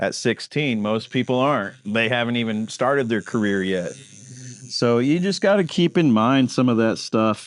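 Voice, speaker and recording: At a fairly slow pace, a man with an ordinary speaking voice talks at a medium pitch. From western Kansas. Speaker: tattoo artist. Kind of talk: casual interview.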